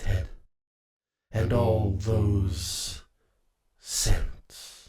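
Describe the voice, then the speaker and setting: This man puts on a character voice. His pitch sits fairly low. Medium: audio drama. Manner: menacing, mocking, theatrical.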